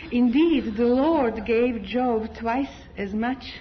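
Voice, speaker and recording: A woman with a non-native accent talks at a fairly high pitch over noticeable background noise. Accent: foreign. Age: 50s. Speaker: congregation member giving testimony. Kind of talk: testimony. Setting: church.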